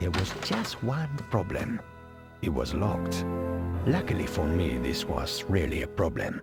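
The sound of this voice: A man's put-on character voice, low in pitch with vocal fry and very wide pitch swings, at a fairly slow pace, with faint music in the background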